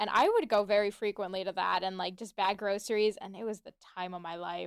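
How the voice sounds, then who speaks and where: A woman speaks at a fairly quick pace in a fairly high voice with ordinary pitch variation, an unremarkable speaking voice. The recording is very clean, with a silent background. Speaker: student organization co-founder. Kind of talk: radio interview.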